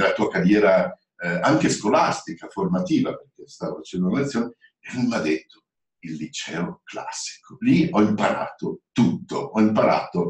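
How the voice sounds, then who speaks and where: A man at a moderate pace, with audible room echo and a quiet background. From Italy. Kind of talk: webinar presentation. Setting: online webinar. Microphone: video call.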